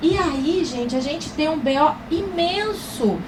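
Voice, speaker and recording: Animated and high-pitched, a woman's voice swings very widely in pitch, heard with audible room echo and noticeable background noise. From Paraná, southern Brazil. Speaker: pharmacy professor. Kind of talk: lecture.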